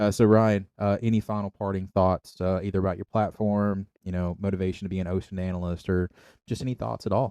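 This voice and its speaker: A man's fairly low-pitched voice, dark and mellow in tone, at a fairly quick pace with fairly even intonation, dry and close with no echo, against a quiet background. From East Tennessee, Kingsport. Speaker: podcast co-host, intel analyst. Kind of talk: casual chat.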